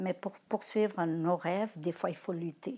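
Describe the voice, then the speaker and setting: A woman's medium-pitched voice with ordinary pitch variation, on a very clean recording against a silent background. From Portugal. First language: Portuguese (speaking French). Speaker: grandparent interviewee. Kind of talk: testimony interview. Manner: halting, many hesitations.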